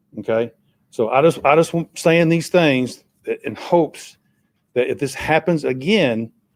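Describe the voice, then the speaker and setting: The speaker talks in a Tennessee accent at a moderate pace. Pitch variation is ordinary. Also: man. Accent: US Southern (Tennessee). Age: 60s. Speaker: resident speaking at public comment. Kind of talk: public comment at a city meeting. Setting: city council meeting.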